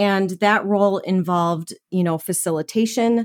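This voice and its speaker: A woman with an American accent speaks at a fairly slow pace in a medium pitch, her voice dry and close with no echo on a very clean recording with a silent background. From US Midwest, Minnesota. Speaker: keynote speaker and trainer. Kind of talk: interview.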